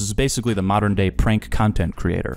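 Here is a man with an unremarkable speaking voice and a fairly low pitch. He moves at a fairly quick pace with ordinary pitch variation. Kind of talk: casual commentary narration. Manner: casual, upbeat.

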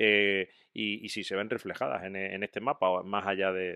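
The background is quiet as a man with a fairly low pitch and a bright, sharp tone speaks in a dry sound with no echo. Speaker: podcast co-host. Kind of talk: casual chat. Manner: animated. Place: home room. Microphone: studio mic.

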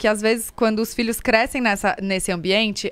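The woman talks at a fairly quick pace in a fairly high pitch. The sound is dry with no echo, over a quiet background. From Brazil. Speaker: podcast host. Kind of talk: casual chat. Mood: reflective, thoughtful. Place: studio. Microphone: studio mic.

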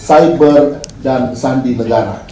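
The speech moves at a very slow pace. Audible room echo and light background noise are present. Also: man. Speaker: event moderator. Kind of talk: speaker introduction. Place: hall.

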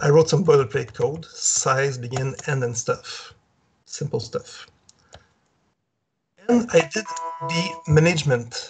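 Faint music plays in the background as a man speaks. He goes very slowly, with long, frequent pauses. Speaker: remote conference speaker. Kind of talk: lecture.

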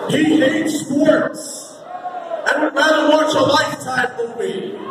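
With loud background noise and audible room echo, a man speaks at an extremely high pitch. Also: ordinary pitch variation, fairly slow pace. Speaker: ring announcer. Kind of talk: wrestling ring announcement. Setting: live event PA system. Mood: mocking, playful insults. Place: hall. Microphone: pa.

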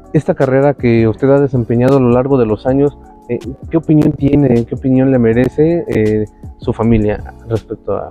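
Over faint music in the background, a man speaks at a medium pitch and moderate pace with ordinary pitch variation, the sound dry with no echo. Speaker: interviewer. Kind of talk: interview questions. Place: garden. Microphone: lapel.

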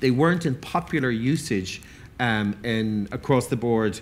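Speaking very slowly in an Irish accent, a man keeps his loudness very even, leaving long, frequent pauses, his pitch varying in an ordinary way. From Ireland. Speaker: event moderator and food writer. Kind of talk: panel discussion. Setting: stage with audience. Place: stage. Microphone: headset.

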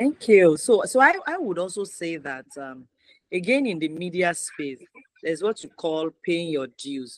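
Lively intonation and big swings in loudness mark a woman's fairly low voice at a fairly slow pace. The sound is dry with no echo, over a quiet background. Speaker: media talk show host. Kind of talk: interview. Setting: video call. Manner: animated. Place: home room. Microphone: video call.

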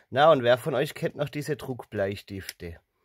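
Recorded dry with no echo, a man speaks very slowly with ordinary pitch variation. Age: 30s. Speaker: video creator showing collected items. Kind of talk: show-and-tell haul video. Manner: animated. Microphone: phone near.

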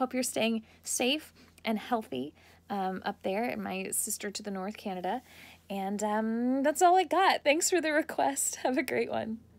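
In an American accent, the speaker uses an upbeat tone at a fairly slow pace. Pitch swings very widely. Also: woman, fairly high pitch for a woman. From United States. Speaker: voice actor. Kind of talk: casual personalized video message. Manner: upbeat, friendly. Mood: warm, cheerful, friendly. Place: home room. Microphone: phone near.

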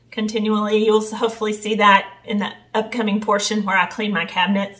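A woman speaks. The background is quiet. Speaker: home cleaning vlogger. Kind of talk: tutorial. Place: kitchen. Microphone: camera far.

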